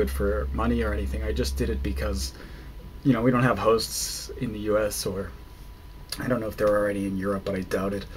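A man speaks in a very deep, low voice. Light background noise can be heard. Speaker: vlogger. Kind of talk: casual vlog chat. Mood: relaxed, amused. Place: home room. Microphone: webcam.

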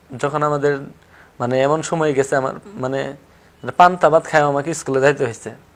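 A man over noticeable background noise. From Tangail, Bangladesh. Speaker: local journalist, former air force member. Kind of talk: interview, personal life story. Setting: studio. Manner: halting.

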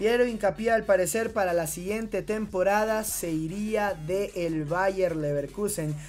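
Delivered at a fairly slow pace, the speech has hardly any pauses. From Ecuador. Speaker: football news YouTuber. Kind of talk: scripted sports news commentary.

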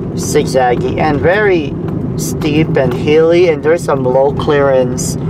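Speech comes at a very slow pace with a dry sound and no echo, set against loud background noise. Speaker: driver vlogger. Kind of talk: casual vlog chat. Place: car. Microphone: camera far.

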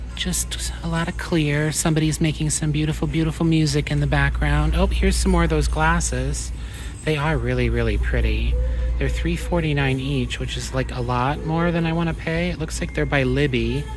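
Music plays behind a man with a very deep, low voice. He speaks at a moderate pace in a monotone, flat way. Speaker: thrift reseller vlogger. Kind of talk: casual vlog chat. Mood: cheerful, musing. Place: shop. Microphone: phone near.

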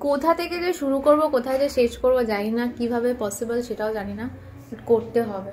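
Noticeable background noise sits behind a woman's high-pitched voice. Her pitch varies in an ordinary way. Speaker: vlogger. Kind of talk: casual vlog talk to camera.

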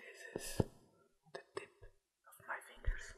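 The speaker is soft-spoken and whispering. Loud background noise fills the recording. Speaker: ASMR creator. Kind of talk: soft ASMR tutorial talk. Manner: soft ASMR whisper, slow and repetitive. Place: home room.

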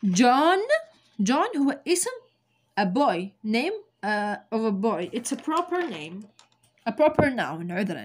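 A woman is speaking. Her pitch swings very widely. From Algeria. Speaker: English teacher. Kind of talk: tutorial. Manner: slow. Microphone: phone near.

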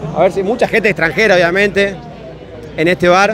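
A man talks at a moderate pace with an animated tone. Crowd noise fills the background. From Salta, northwestern Argentina. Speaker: YouTuber doing fan reaction interviews. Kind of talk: vox-pop street interviews with on-camera commentary. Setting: crowded football bar in Buenos Aires.

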